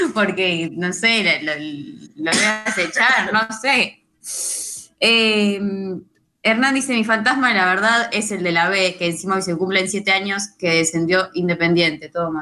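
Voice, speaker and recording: A woman talks in a Rioplatense accent at a fairly slow pace. Her pitch is medium with ordinary variation, in a very clean recording with a silent background. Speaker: radio co-host. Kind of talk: reading listener messages.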